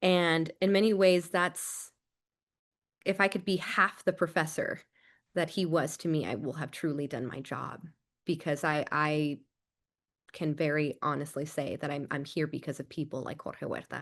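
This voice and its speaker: Against a quiet background, a woman with an American accent and a very deep, low pitch talks at a moderate pace with ordinary pitch variation and long, frequent pauses. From California Central Valley (Arvin). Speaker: theater director and scholar. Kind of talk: podcast interview. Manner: animated.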